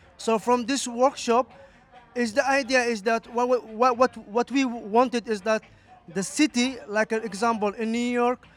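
Speaking at a fairly slow pace with fairly even intonation, a man with an extremely high pitch comes through a dry, close sound with no echo, though noticeable background noise is present. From Somalia. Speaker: refugee activist. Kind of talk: interview. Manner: halting.

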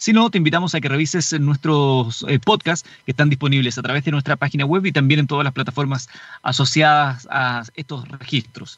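Barely pausing, a man with a Chilean accent speaks at a fairly high pitch with ordinary pitch variation. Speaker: radio host. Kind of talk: radio DJ patter. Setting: car mobile studio, live. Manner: upbeat, brisk radio-announcer delivery with time checks.

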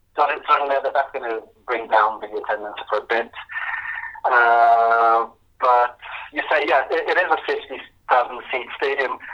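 Noticeable background noise sits under a man's medium-pitched voice. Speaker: football journalist. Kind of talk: interview. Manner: halting.

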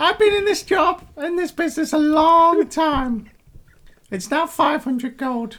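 Fairly slow, extremely high-pitched put-on character voice from a man. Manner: smug, stubborn.

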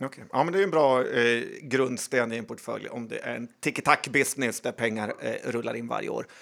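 A plain, everyday voice: a man at medium pitch, moderate pace, ordinary pitch variation and hardly any pauses. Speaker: podcast co-host. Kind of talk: casual chat.

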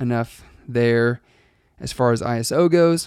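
The voice belongs to a man and sits at a medium pitch. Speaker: podcast host and wedding filmmaker. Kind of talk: solo podcast monologue. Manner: fast; casual with many fillers.

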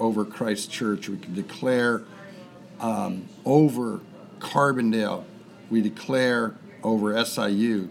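Over noticeable background noise, a man at medium pitch talks very slowly with fairly even intonation. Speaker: church member leading prayer. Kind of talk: fervent extemporaneous prayer. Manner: fervent, impassioned, declarative.

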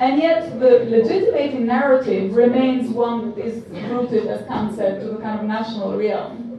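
A woman's fairly high voice with an Albanian accent at a moderate pace, with audible room echo and noticeable background noise. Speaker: political theory professor. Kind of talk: panel discussion.

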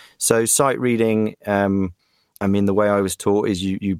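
In a British accent, a man speaks with a fairly low pitch and fairly even intonation, the sound dry and close with no echo on a very clean recording with a silent background. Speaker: voice actor. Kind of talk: casual interview.

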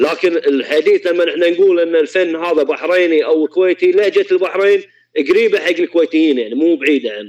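A man in a Kuwaiti accent, with hardly any pauses. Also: moderate pace. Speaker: violinist. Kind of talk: casual chat.

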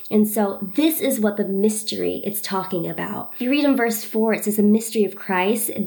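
A woman's fairly high voice at a moderate pace, with ordinary pitch variation, over noticeable background noise. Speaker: Bible study podcaster. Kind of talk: Bible study teaching. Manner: casual.

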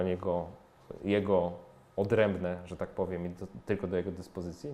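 This man has a very deep, low pitch and a dark, mellow tone. He talks at a moderate pace with fairly even intonation. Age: 40s. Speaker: personal finance blogger and author. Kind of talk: casual interview conversation.

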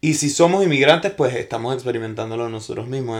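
This man's fairly high voice is captured in a very clean recording against a silent background. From Venezuela. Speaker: actor. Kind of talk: casual chat. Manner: loud; halting.

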